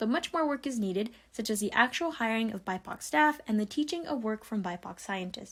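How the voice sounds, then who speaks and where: A woman talks at a fairly quick pace with hardly any pauses, her voice fairly high in pitch and somewhat breathy. Her intonation is lively, and the recording is very clean with a silent background. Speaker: ecologist and science communicator. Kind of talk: scripted narration.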